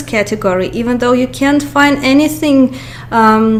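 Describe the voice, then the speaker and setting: Lively intonation and a moderate pace come through over noticeable background noise. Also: woman. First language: Russian. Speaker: YouTuber. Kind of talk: movie review monologue. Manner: halting, many fillers.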